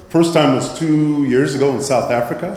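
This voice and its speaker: A man's lively intonation at a moderate pace, with audible room echo and noticeable background noise. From Nigeria. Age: 60s. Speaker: impact investing presenter. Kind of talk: conference presentation.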